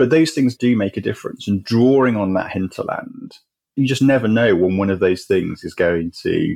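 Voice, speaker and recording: A man with an English accent talks at a fairly quick pace. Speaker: charity chief executive. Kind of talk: interview.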